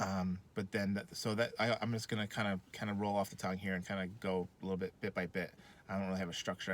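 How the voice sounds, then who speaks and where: A man's very deep, low voice at a very fast pace, monotone and flat in intonation. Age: 30s. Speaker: wrestling fan vlogger. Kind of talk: casual monologue. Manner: halting, many fillers.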